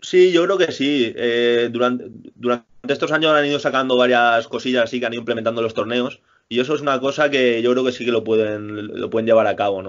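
An unremarkable speaking voice from a man, medium in pitch with ordinary pitch variation, at a fairly quick pace. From Spain. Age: 20s. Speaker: professional tennis player. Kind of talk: interview. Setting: remote call from home.

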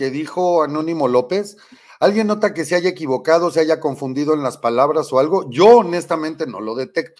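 A man with a Mexican accent talks in a high-pitched, animated way, his intonation lively. The background is quiet. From Mexico, Michoacán. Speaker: political commentary show host. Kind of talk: live political commentary. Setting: studio.

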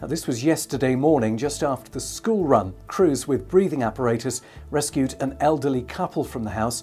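Here a man talks at a moderate pace with hardly any pauses, his medium-pitched voice rising and falling with lively intonation. Faint music plays in the background. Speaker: radio newsreader. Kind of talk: radio news bulletin. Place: studio.

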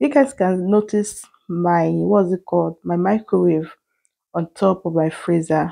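A woman speaks at a fairly slow pace in a normal speaking voice. The background is quiet. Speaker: home cooking vlogger. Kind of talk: casual vlog chat. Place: kitchen.

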